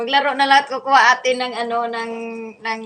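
This woman's voice sits high, with typical pitch movement. She keeps a moderate tempo. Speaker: vlogger, domestic worker. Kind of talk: casual livestream chat while playing with dog. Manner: animated.

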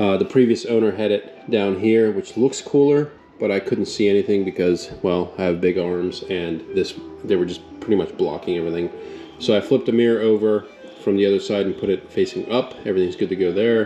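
Faint music sits in the background. Over it, a man speaks at a fairly quick pace. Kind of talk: casual vlog chat. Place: garage. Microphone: phone near.

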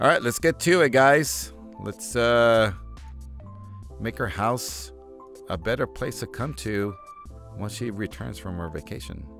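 With faint music in the background and a dry sound with no echo, the speaker talks at a fairly slow pace with long, frequent pauses. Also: man, fairly low pitch for a man. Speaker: gaming commentator. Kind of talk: commentary. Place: home room.

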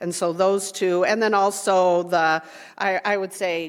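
A woman speaks in a fairly low pitch. Her pitch varies in an ordinary way. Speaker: school board candidate. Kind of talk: candidate forum answer.

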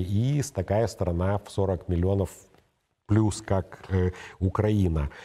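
A man's very deep, low voice carries a dark, mellow tone. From Moldova. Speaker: political commentator and show co-host; political commentator, show co-host. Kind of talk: studio political analysis talk show. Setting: studio. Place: studio. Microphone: lapel.

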